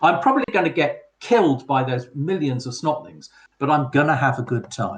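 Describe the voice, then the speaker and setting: Fairly high in pitch and somewhat breathy, a man speaks at a moderate pace. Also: ordinary pitch variation. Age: 50s. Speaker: podcast panelist. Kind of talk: casual chat.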